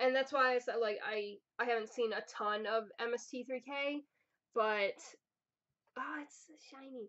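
A woman with an American accent, high-pitched and fairly slow, with long, frequent pauses, big swings in loudness, and a quiet background. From New Jersey. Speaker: YouTuber. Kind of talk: unboxing video. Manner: animated. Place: home room. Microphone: webcam.

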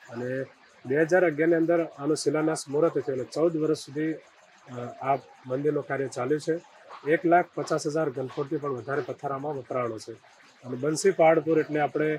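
A man speaks with a fairly high pitch and fairly even intonation. Noticeable background noise is present. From Banaskantha, Gujarat. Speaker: temple head priest, religious leader. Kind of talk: interview.

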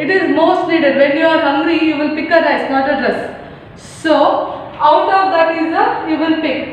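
A woman talks at a fairly slow pace with hardly any pauses, her pitch extremely high and her intonation fairly even. Strong room echo and light background noise surround her voice. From India. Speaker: school teacher. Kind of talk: lecture. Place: classroom.

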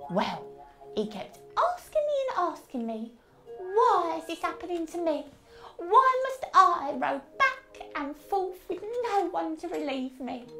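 Using a put-on character voice, a female-sounding speaker talks at a fairly slow pace with extremely high pitch for a woman. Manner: soothing, gentle, motherly.

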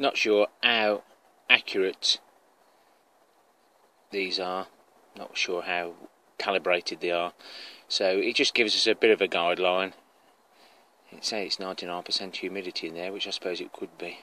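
A man at a moderate pace, with long, frequent pauses, big swings in loudness and a dry sound with no echo. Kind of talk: casual vlog chat. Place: garden. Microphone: phone near.

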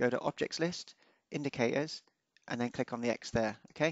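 A man talks with ordinary pitch variation, the sound dry and close with no echo.

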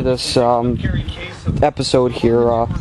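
A man speaks in a dry sound with no echo. Clear music plays in the background. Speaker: tractor owner. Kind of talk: casual vlog commentary. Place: farm machine. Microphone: phone near.

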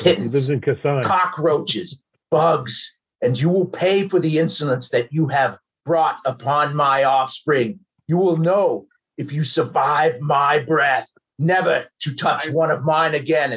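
A booming, put-on character voice from a man, fairly high-pitched and at a fairly slow pace. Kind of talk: tabletop game master character voice. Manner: menacing, contemptuous.

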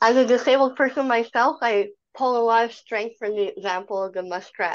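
A woman speaks with ordinary pitch variation over a quiet background. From Canada. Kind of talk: virtual meeting presentation. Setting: video call. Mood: calm and reflective. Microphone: video call.

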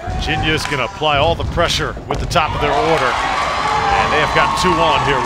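A man talks at a fairly quick pace with hardly any pauses over noticeable background noise. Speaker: play-by-play announcer. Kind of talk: live sports commentary, play-by-play. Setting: broadcast booth, ESPN3 stream. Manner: brisk, energetic, polished broadcaster delivery.

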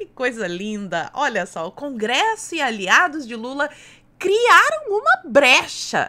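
A woman's high voice is animated, bright and sharp, raised and projected, and it swings very widely in pitch. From Brazil. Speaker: political YouTuber. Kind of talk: political commentary video. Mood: sarcastic, critical. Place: home room.

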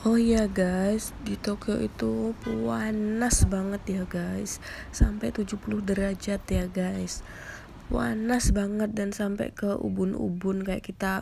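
Over faint music in the background, a woman speaks slowly with vocal fry and a dark, mellow tone. Her pitch moves very little. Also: medium pitch for a woman.

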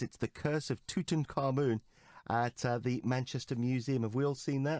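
Someone with a British accent speaks at a fairly quick pace, the sound dry and close with no echo on a very clean recording with a silent background. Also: man. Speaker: radio show host. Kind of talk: interview. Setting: studio.

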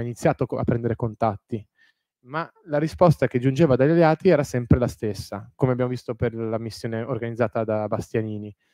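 In a quiet background with a dry sound and no echo, a man speaks with ordinary pitch variation. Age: 30s. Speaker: historian, author. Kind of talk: lecture; Q&A answers. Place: hall.

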